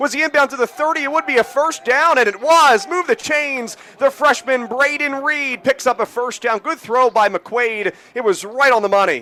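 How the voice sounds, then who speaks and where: Here a man uses a raised, projected voice. His pitch is extremely high. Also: ordinary pitch variation, dry, close sound with no echo. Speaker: college radio sports broadcaster, play-by-play announcer. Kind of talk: live play-by-play alongside a color analyst. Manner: quick, energetic, rapid-fire.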